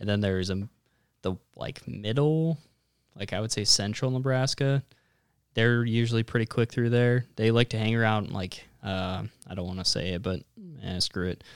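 A man with an ordinary speaking voice at a medium pitch talks at a moderate pace with ordinary pitch variation, recorded dry and close with no echo, very clean against a silent background. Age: 20s. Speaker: podcast host, hunter. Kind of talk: casual chat.

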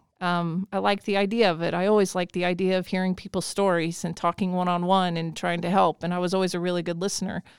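In an American accent, a woman with a fairly low voice talks at a very fast pace with hardly any pauses and monotone, flat intonation, on a very clean recording with a silent background. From Indiana, US Midwest. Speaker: school counselor. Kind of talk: interview, casual conversation.

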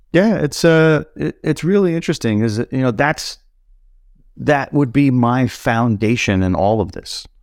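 In a New York accent, a man talks at a fairly slow pace and a medium pitch, with very wide pitch swings. The recording is very clean, with a silent background. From Brooklyn, New York. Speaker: snowboard apparel brand founder. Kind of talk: casual chat.

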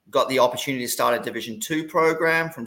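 The speaker has an Australian accent. The tone is bright and sharp. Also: man. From Australia, Gold Coast. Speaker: college soccer coach. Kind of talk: casual interview. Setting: video call.

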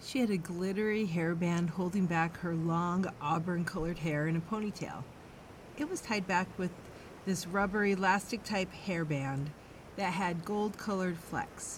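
A woman has an unremarkable speaking voice with a fairly low pitch. She talks at a moderate pace with ordinary pitch variation. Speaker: true crime podcast host. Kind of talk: true-crime narration, measured and serious, reading a scripted case account. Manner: solemn, steady, formal.

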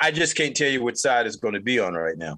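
A man with an American accent speaks at a very fast pace in a bright, sharp tone with ordinary pitch variation over a quiet background. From North Carolina. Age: 50s. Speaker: podcast host. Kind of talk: solo commentary monologue.

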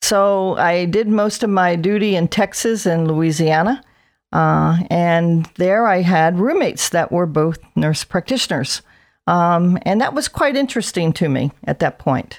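An unremarkable speaking voice from a woman with an American accent, fairly low in pitch, fairly slow, with lively intonation and very even loudness, on a very clean recording with a silent background. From South New Jersey. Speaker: veteran nurse practitioner. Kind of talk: interview.

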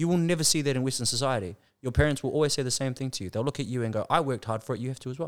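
At a very fast pace, a man with a New Zealand accent speaks at a medium pitch with ordinary pitch variation on a very clean recording with a silent background. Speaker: business consultant. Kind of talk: casual chat.

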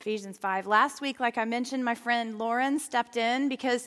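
A woman speaks at a high pitch. The recording is very clean, with a silent background. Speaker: pastor. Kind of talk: sermon. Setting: stage with audience. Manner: animated.

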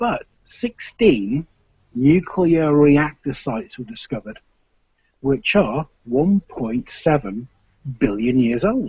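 In an English accent, a man with a fairly high, somewhat breathy voice speaks at a very slow pace with very wide pitch swings. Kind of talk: casual chat. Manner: animated.

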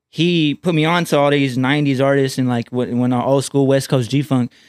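A man speaks in an ordinary speaking voice, fairly high in pitch with fairly even intonation. He goes at a fairly quick pace on a very clean recording with a silent background. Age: 20s. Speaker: rapper. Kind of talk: casual chat.

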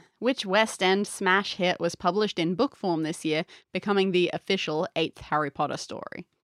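A woman's medium-pitched voice, with ordinary pitch variation, comes through with a dry, close sound and no echo. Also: moderate pace. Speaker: podcast co-host. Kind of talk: casual chat. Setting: playing a board game at home. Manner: quiet when reading questions.

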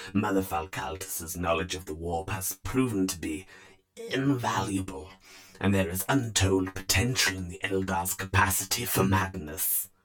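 A man uses a put-on character voice with a very deep, low pitch. It comes out creaky and wheezy. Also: moderate pace. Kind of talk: grimdark horror reading. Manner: sly, scheming, fawning.

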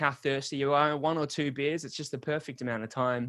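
A man's fairly high pitch in an Australian accent, at a fairly quick pace with ordinary pitch variation. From Sydney, Australia. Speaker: podcast guest. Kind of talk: casual interview chat. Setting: video call.

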